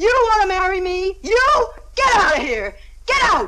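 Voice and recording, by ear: A woman puts on a character voice at an extremely high pitch, bright and sharp in tone, with big pitch swings at a moderate pace.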